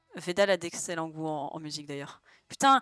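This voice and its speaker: Recorded dry and close with no echo, a woman speaks at a fairly low pitch. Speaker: streamer. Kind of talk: casual chat. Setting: live stream while drawing.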